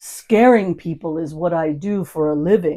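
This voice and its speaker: A woman puts on a character voice at a fairly low pitch. Her pace is moderate and her pitch varies in an ordinary way. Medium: read story. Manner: playful, teasing.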